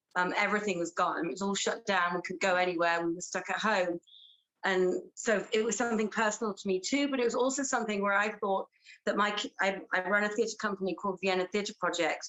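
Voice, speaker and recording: A very fast woman's voice in an English accent, medium in pitch with ordinary pitch variation. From England. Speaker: actress and theatre director. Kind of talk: interview.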